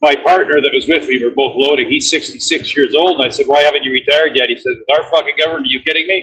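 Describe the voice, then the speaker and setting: A man talking at a very fast pace with hardly any pauses. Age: 60s. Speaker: truck driver, caller. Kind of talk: casual call-in chat.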